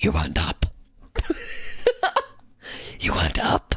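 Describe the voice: A put-on character voice growls at a very deep, low pitch. It sounds raspy, with a menacing tone.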